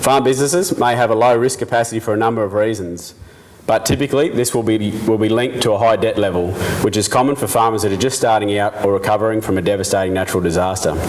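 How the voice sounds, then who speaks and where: Spoken very fast in a Queensland accent, the voice keeps very even loudness and ordinary pitch variation. Noticeable background noise can be heard. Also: man, fairly low pitch for a man. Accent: Queensland Australian. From Queensland, Australia. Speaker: farmer and research scholar. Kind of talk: presentation talk. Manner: halting with self-corrections.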